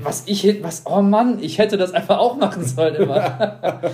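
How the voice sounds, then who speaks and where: A man's high voice with very wide pitch swings. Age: 20s. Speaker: podcast co-host, student. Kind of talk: casual chat.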